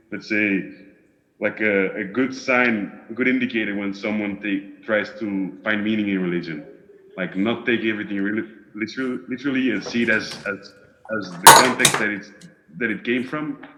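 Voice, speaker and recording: A man with a Flemish accent talks at a moderate pace in a fairly low voice with ordinary pitch variation. Background noise is noticeable. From Belgium, Flemish part. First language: Dutch. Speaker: discussion group participant. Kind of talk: casual chat. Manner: halting, searching for words.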